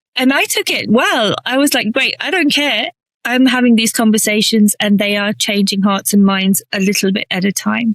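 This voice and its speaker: A woman with a British accent and a fairly high pitch talks at a moderate pace with ordinary pitch variation, in a dry, close sound with no echo. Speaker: inclusion strategist. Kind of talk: interview.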